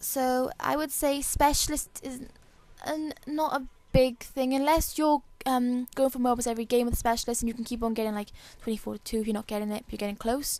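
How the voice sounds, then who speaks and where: Speaking at a fairly quick pace, a woman keeps a high pitch and fairly even intonation. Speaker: gamer. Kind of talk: gameplay commentary tutorial. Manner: fast, rushed.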